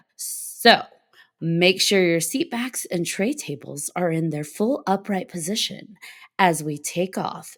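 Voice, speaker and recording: A woman's fairly low voice with vocal fry, lively intonation and a fairly slow pace. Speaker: podcast co-host. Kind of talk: podcast intro. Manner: upbeat.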